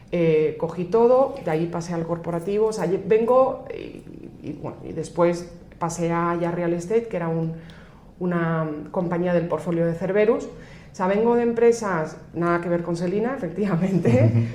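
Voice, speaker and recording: Fairly low-pitched woman's voice with lively intonation at a moderate pace, plus noticeable background noise and audible room echo. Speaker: finance executive. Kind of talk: podcast interview. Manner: hesitant, many fillers and restarts.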